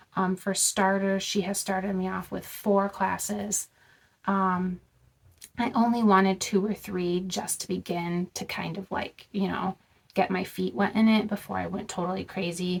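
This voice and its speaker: A woman's somewhat breathy voice in a monotone, flat intonation. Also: medium pitch for a woman, moderate pace. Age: 30s. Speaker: vlogger. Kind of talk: casual chat. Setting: in a car. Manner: casual, many filler words.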